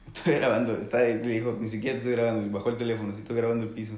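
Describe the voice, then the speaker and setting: A medium-pitched man with audible room echo. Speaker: podcast co-host. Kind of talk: casual storytelling.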